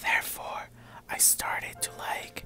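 A man whispering at a fairly slow pace, with faint music in the background. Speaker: vlogger. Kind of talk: ASMR vlog talk to camera. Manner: whispered. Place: home room. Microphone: lapel.

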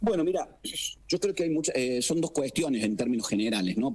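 His pitch rises and falls in an ordinary way. The speaker is a man. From Argentina. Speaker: political scientist and professor; professor. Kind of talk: expert interview. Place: studio.

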